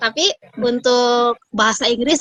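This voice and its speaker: The speaker has a strong Sundanese accent. The intonation is fairly even. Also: woman. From Indonesia, Sundanese region (West Java). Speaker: Turkish language tutor and writer. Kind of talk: casual interview chat. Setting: live online video call.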